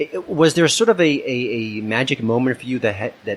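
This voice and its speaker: A man talks fairly quickly in an American accent, his intonation lively, while noticeable background noise carries on around him. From US Northeast, Long Island. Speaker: podcast host, film critic. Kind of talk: podcast interview.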